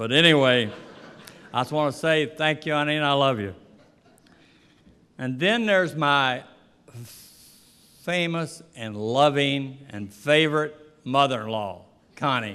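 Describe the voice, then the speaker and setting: With audible room echo, a man in an American accent talks at a fairly slow pace and a fairly high pitch. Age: 70s. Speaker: boxing trainer. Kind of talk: acceptance speech. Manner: halting.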